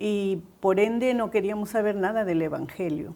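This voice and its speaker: A woman speaks at a fairly slow pace in a dark, mellow tone. Her pitch varies in an ordinary way. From Peru, Trujillo (La Libertad). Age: 70s. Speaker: pastor's wife. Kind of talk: testimony.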